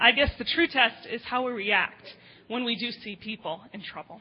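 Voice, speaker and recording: A woman speaks with an American accent at a high pitch. Noticeable background noise runs beneath her voice. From grew up in Jordan, then Midwestern US. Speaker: pastor's wife, editor. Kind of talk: testimony. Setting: church.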